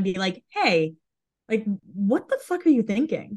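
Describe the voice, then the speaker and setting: Somewhat breathy, this voice has an American accent. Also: woman. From Massachusetts, US. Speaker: Instagram fan page creator. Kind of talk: casual interview.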